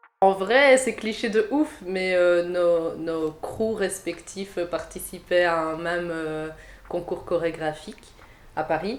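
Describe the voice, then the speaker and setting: Speaking at a very slow pace, a woman uses a fairly low pitch and ordinary pitch variation. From Belgium, Liège. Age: 20s. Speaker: dancer. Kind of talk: casual interview chat.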